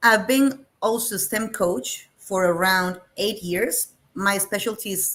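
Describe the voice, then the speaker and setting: A woman is speaking. She has a Spanish accent. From Colombia, Medellin. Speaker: STEM teacher. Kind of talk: webinar presentation.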